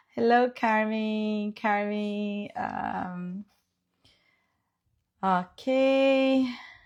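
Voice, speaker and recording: With a non-native accent, a woman with a fairly high pitch speaks at a very slow pace, with fairly even intonation and long, frequent pauses. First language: Portuguese. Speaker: real estate agent. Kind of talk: live stream chat. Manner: halting.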